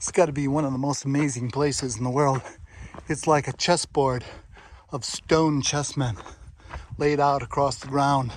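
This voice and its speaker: Here a man talks at a moderate pace. His pitch is fairly high. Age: 60s. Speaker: adventure vlogger. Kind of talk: casual vlog monologue.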